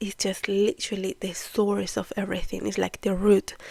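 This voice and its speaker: With a Spanish accent and some vocal fry, a woman speaks at a moderate pace in a dry, close sound with no echo. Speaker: podcast host, spiritual teacher. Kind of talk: casual monologue, spiritual talk. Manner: hesitant, conversational.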